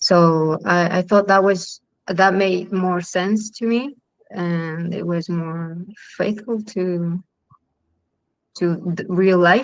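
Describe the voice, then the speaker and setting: In a Chilean accent, a woman speaks at a very slow pace with long, frequent pauses. Her pitch is medium and her intonation fairly even. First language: Spanish. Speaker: film director. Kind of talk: panel interview. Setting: online live stream. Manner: halting, many fillers.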